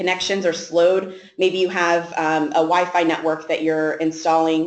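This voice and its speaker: A woman's fairly low voice in a flat, monotone delivery. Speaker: sales director. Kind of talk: webinar presentation. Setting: online webinar. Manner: fast; halting, many fillers.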